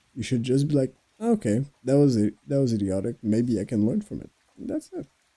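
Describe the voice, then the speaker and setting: With a French Canadian accent, a man speaks at a fairly quick pace in a dark, mellow tone with lively intonation. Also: medium pitch for a man, big swings in loudness, dry, close sound with no echo. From Quebec. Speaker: podcast host. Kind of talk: casual monologue. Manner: halting.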